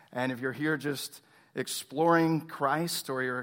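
A fairly high-pitched man with an American accent at a moderate pace, with ordinary pitch variation, in a very clean recording with a silent background. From Texas, Tomball near Houston. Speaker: pastor. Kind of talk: sermon.

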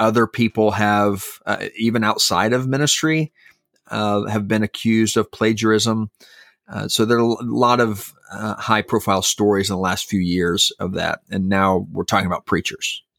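An ordinary speaking voice at a moderate pace with fairly even intonation. The sound is dry and close with no echo, in a very clean recording over a silent background. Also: man, fairly low pitch for a man. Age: 40s. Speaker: pastor and podcast co-host. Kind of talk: casual chat.

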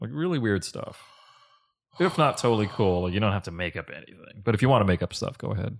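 Talking at a very fast pace, a man with a fairly low pitch makes very wide pitch swings. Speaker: podcast host. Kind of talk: casual interview chat. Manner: animated, casual, profanity.

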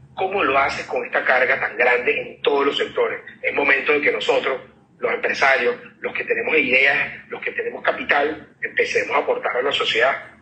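Noticeable background noise and a man talking at a fairly quick pace. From Venezuela. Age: 40s. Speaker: startup CEO and physician. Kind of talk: interview.

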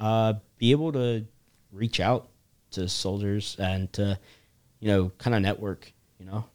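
A man with an American accent and a fairly low pitch, at a fairly slow pace with long, frequent pauses and big swings in loudness, in a dry, close sound with no echo and a very clean recording over a silent background. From US South, South Carolina (Charleston). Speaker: soldier, program representative. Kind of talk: interview. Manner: halting, many fillers.

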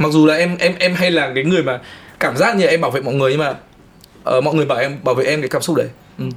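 Somewhat breathy and very fast, the speech has ordinary pitch variation and long, frequent pauses. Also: man, fairly high pitch for a man. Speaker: film and music video director. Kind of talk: casual chat.

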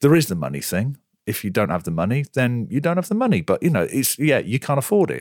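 Very fast and full of very wide pitch swings, a man speaks at medium pitch with vocal fry. The recording is very clean, silent in the background, dry and close with no echo. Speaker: podcast host. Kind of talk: casual chat.

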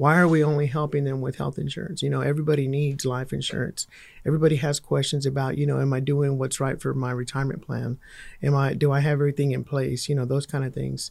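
A man with a Texan accent, fairly high pitch, monotone, flat intonation and a very fast pace. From Texas, Fort Worth. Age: 40s. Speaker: insurance agent. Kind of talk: casual chat.

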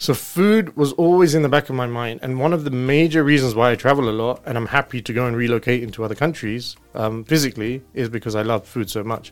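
With music in the background, a man rattles along at a very fast pace with hardly any pauses. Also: medium pitch for a man, ordinary pitch variation. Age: 30s. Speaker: finance company executive. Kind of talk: casual interview.

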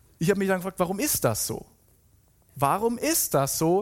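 A man's high-pitched voice with lively intonation, in a very clean recording with a silent background. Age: 30s. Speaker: pastor. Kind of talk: sermon. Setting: church.

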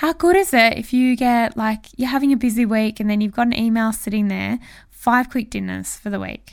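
Here is a woman with an Australian accent. She talks at a moderate pace. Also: very clean recording, silent background. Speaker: marketing podcast host. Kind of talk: solo podcast monologue. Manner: animated.

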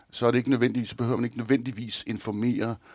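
A man speaks at a very fast pace in a very clean recording with a silent background. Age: 50s. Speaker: thriller author. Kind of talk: interview.

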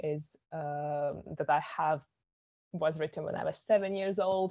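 A woman with a Latvian accent, a very deep, low pitch, monotone, flat intonation and a fairly slow pace. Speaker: poet and filmmaker. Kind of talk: casual chat.

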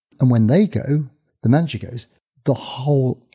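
Dry and close with no echo, a man's medium-pitched, dark, mellow, somewhat breathy voice moves at a moderate pace with lively intonation. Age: 60s. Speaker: sports surgeon and author. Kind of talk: interview answers.

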